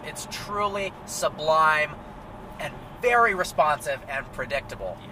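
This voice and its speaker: A man talks with ordinary pitch variation in a dry sound with no echo, over noticeable background noise. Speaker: car reviewer. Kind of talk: review commentary. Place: car. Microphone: camera far.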